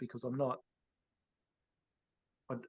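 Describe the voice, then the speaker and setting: A man's medium-pitched voice with an Australian accent, fairly even intonation, and a dry, close sound with no echo. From Cairns, Queensland, Australia. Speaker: real estate agency CEO. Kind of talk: podcast interview answer. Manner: casual, conversational.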